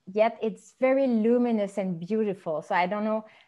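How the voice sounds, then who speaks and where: A moderate pace in a Quebec accent. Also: woman. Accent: French Canadian accent in English. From Quebec, Montreal. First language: French. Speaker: podcast host. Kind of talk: interview conversation.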